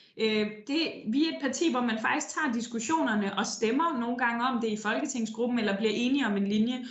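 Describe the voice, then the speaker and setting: Over noticeable background noise and audible room echo, a woman with a fairly high pitch speaks at a fairly quick pace. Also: ordinary pitch variation. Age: young. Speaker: politician. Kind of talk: interview. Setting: remote call from her office.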